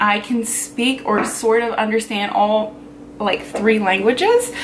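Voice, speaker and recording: A woman with ordinary pitch variation speaks at a moderate pace, and both audible room echo and noticeable background noise are present. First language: Pennsylvania Dutch (German Dutch). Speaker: vlogger. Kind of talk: casual personal talk to camera.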